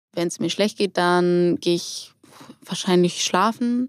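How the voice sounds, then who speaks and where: A woman with a normal speaking voice, medium pitch and ordinary pitch variation at a moderate pace, in a very clean recording with a silent background and a dry, close sound with no echo. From Hamburg, northern Germany. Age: 20s. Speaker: roller skating instructor and student. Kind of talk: casual interview.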